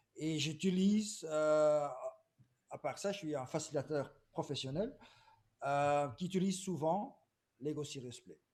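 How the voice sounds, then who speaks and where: A man with a Flemish accent, fairly high-pitched, very slow, with big swings in loudness and long, frequent pauses. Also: ordinary pitch variation. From Belgium, Flemish. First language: Dutch (speaking French). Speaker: agile consultant. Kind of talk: webinar presentation. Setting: video call webinar.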